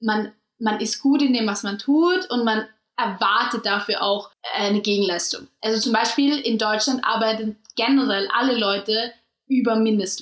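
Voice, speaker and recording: It is an unremarkable speaking voice. The words come at a moderate speed. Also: woman. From Austria. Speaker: podcast co-host. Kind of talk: casual chat.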